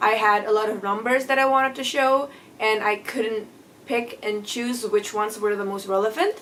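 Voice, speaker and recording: With a non-native accent, a woman talks in a fairly high voice and fairly even intonation over noticeable background noise. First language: not English. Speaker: book reviewer. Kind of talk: casual vlog book review.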